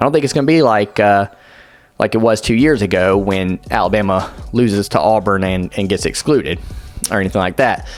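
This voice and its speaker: With music in the background, a man speaks at a fairly low pitch with ordinary pitch variation and very even loudness. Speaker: sports YouTuber. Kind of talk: unscripted commentary monologue. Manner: fast; halting, stumbling over words.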